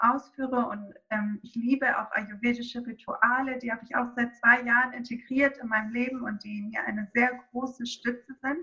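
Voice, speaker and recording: Her voice is high for a woman, with a bright, sharp tone. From Greece, small island. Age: 30s. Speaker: yoga teacher and essential oil consultant. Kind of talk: interview about essential oils.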